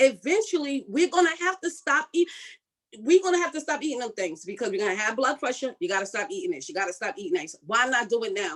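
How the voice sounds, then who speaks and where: A woman speaks very fast in an animated tone at a high pitch. Her pitch swings very widely. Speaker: health summit presenter. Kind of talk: motivational talk.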